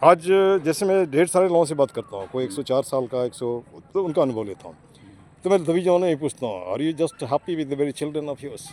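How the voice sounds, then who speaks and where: In a dry, close recording with no echo, a man speaks in a normal speaking voice at a moderate pace. His pitch is fairly high and his intonation lively. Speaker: interviewer. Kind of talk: street interview questions.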